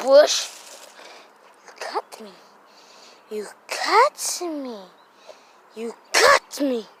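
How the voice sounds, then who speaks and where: A high-pitched, cartoonish character voice at a very slow pace, with long, frequent pauses. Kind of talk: playful puppet comedy. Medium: puppet show. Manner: childish broken grammar, repetitive.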